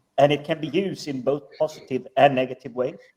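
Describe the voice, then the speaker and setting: A man's medium-pitched, dark, mellow voice at a fairly quick pace. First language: not English. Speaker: podcast guest. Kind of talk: casual chat.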